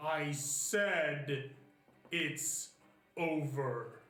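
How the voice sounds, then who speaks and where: A put-on character voice comes through with a slight echo. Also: man, fairly high pitch for a man. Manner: commanding, stern.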